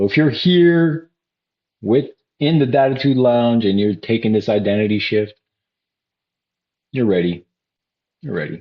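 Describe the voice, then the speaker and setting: Lively intonation from a man at medium pitch and moderate pace, broken by long, frequent pauses. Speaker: life coach. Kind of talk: motivational talk. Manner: animated.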